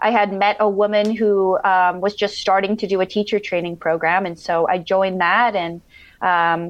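A woman with an American accent and a plain, everyday voice speaks at a moderate pace with ordinary pitch variation. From southern Minnesota, US. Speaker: yoga teacher and life coach. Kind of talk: casual interview. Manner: filler-heavy.

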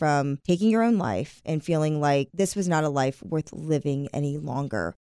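With an American accent, a woman speaks at a moderate pace with a very deep, low pitch. The recording is very clean with a silent background, and the sound is dry and close with no echo. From US South. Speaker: podcast host. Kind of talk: casual chat and interview.

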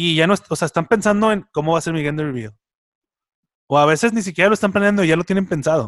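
Recorded dry and close with no echo, a man with a fairly high pitch speaks with lively intonation. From Mexico, Monterrey area (San Nicolás de los Garza). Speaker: podcast co-host. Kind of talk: casual chat.

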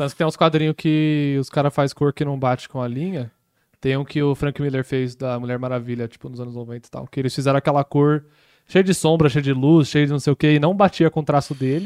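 The man talks at a fairly quick pace with a fairly high pitch and fairly even intonation. The sound is dry and close with no echo, on a very clean recording with a silent background. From Brazil (moved there at age six). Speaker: animator and podcast co-host. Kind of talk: casual chat.

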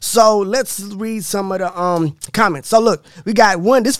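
With an animated tone and ordinary pitch variation, a man speaks at a high pitch. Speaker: podcast host. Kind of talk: casual banter reacting to stories. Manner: animated, excitable.

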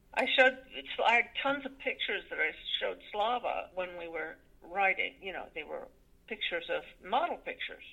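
Fairly quick and with big swings in loudness, a woman speaks in an American accent. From Connecticut, US. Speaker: actress and screenwriter. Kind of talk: interview.

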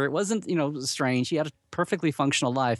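Against a quiet background with a dry, close sound and no echo, a man with an American accent speaks at a moderate pace. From Oklahoma, US. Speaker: Star Trek blogger and convention regular. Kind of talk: casual interview chat.

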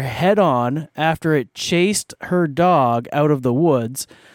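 Recorded very cleanly against a silent background, a man speaks in a normal speaking voice, fairly high in pitch with ordinary pitch variation, and the sound is dry and close with no echo. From Canada. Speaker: podcast host. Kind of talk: casual chat.

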